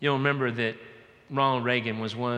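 With an American accent, a man speaks in a monotone, flat intonation. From US South, Georgia. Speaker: pastor. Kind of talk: sermon. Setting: church. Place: church. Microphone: headset.

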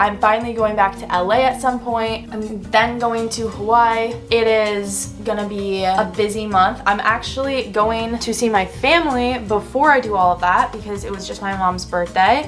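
With light background noise, a woman talks at a moderate pace with fairly even intonation and hardly any pauses. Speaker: vlogger. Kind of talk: casual vlog chat. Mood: chatty, slightly emotional. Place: home room. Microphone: camera far.

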